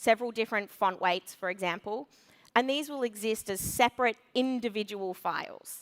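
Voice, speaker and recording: With an Australian accent, a woman speaks loudly in a fairly high pitch with a bright, sharp tone. Her intonation is lively and the sound is dry and close with no echo. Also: very clean recording, silent background. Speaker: conference speaker, web developer. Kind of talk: conference talk. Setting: stage with audience.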